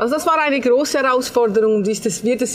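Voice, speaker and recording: A woman speaks at a moderate pace with lively intonation over noticeable background noise. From Switzerland. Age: 50s. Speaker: hotel owner, emigrant. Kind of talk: interview. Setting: on location at her hotel. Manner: halting.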